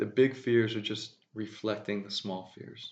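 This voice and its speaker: A man mumbles at a fairly slow pace with a slight Southern US accent. His fairly low voice keeps a fairly even intonation. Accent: slight drawl. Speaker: spiritual speaker. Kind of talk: spiritual monologue. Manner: mumbling.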